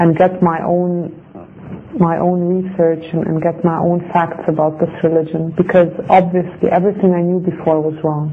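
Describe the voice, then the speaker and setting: Flat and monotone, a woman's voice sits at a fairly low pitch. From Germany, Greek family. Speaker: convert to Islam. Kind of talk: testimony. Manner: halting. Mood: calm, sincere, reflective. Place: studio.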